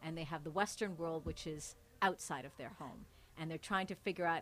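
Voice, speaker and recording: This woman has a normal speaking voice with a Canadian accent. Her pitch sits fairly low. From Canada, Mississauga. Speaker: TV news anchor. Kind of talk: casual interview conversation. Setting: hotel, live recording.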